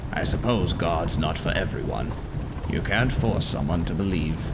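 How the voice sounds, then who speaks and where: Over loud background noise, a man in a cartoonish character voice speaks at a moderate pace with a very deep, low pitch. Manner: measured, reflective.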